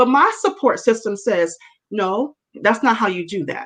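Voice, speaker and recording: A woman speaks loudly in an animated tone. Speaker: women's network leader, talk show guest. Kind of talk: casual talk show conversation.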